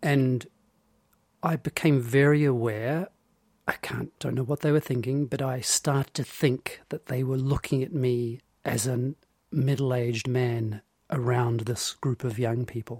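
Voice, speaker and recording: Speaking at a fairly slow pace, a man uses a medium pitch and fairly even intonation. His voice is somewhat breathy, and the sound is dry and close with no echo. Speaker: podcast co-host. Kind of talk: casual chat.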